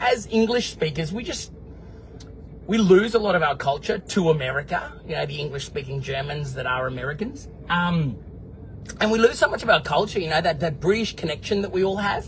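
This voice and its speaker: Someone with an Australian accent talks at a fairly quick pace with lively intonation. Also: man, high pitch for a man. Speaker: vlogger. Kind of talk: casual video diary answering live comments. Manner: animated.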